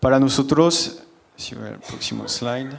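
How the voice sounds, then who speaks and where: A man with a French accent speaks at a fairly slow pace and medium pitch, his intonation fairly even. Audible room echo and noticeable background noise are present. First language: French (speaking Spanish). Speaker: company general manager, panelist. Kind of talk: conference panel presentation.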